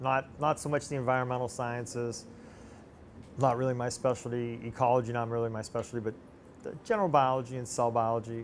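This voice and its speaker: A man speaks at a very fast pace and a medium pitch. His intonation is monotone and flat. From United States. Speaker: cell biologist and microscopy course instructor. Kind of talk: interview. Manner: hesitant, many fillers and restarts.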